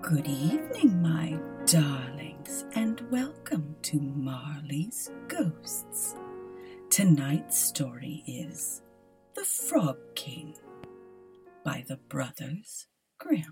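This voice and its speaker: A woman with a very deep, low pitch speaks at a very slow pace, with long, frequent pauses. Her loudness swings widely, and faint music plays in the background. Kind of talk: spooky bedtime storytelling. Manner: warm, affectionate.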